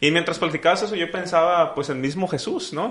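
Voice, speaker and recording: Lively intonation marks the speech of a man with a Mexican accent. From Mexico. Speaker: podcast host. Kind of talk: casual interview.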